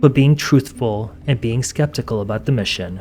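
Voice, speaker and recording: Lively in intonation and fairly quick, a man talks while music plays behind him. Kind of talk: true crime documentary narration.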